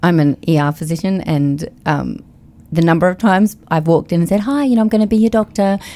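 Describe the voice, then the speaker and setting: Her fairly low voice has a dark, mellow tone, as a woman speaks with lively intonation and very even loudness. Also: fairly quick pace. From Australia, Queensland (Sunshine Coast). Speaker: emergency room physician. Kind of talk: casual chat.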